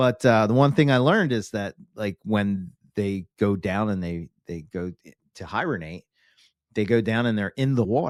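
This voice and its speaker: A man with a Philadelphia accent, fairly low pitch and lively intonation, in a dry, close sound with no echo on a very clean recording with a silent background. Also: moderate pace. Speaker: reptile podcaster. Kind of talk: casual interview chat.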